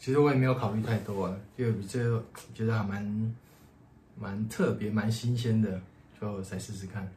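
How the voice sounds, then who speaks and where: A man speaks at a fairly low pitch and a moderate pace in a dark, mellow, somewhat breathy tone, with fairly even intonation and long, frequent pauses. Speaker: podcast co-host. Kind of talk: casual chat.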